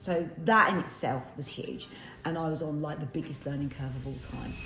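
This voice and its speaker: Amid noticeable background noise and audible room echo, a woman with a very deep, low pitch talks fairly quickly in a fairly even intonation. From East End of London. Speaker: snack brand founder. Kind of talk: casual interview. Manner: casual, filler-heavy.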